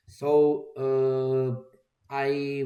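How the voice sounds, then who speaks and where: This man has a Croatian accent and a medium pitch. His tone is dark and mellow. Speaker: software developer. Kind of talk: tutorial. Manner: halting, many fillers. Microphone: microphone problems.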